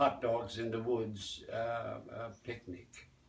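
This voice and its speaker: A man talks at a fairly slow pace and a medium pitch. There is noticeable background noise. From US Midwest, Gary, Indiana. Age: 80s+. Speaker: folk dance teacher. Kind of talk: interview. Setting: festival. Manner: halting.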